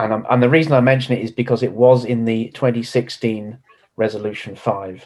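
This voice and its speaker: Speaking with a British accent, a man keeps a medium pitch, a moderate pace and fairly even intonation. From United Kingdom. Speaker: conference delegate. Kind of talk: meeting discussion.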